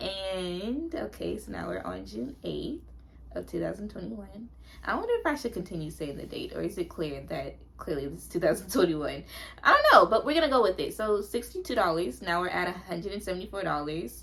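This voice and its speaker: Over noticeable background noise, a woman speaks at a fairly quick pace with big swings in loudness. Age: 20s. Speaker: notary public. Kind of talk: casual talk to camera. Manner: casual, chatty.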